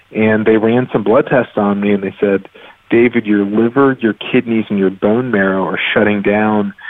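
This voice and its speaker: A man's fairly low voice, monotone and flat, at a moderate pace against noticeable background noise. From US South, North Carolina (Raleigh). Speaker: physician and medical researcher. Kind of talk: interview. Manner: hesitant with fillers.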